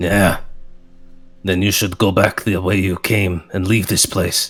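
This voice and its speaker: A man's put-on character voice, gruff and very deep, flat and monotone, at a fairly slow pace. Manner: unwelcoming, warning.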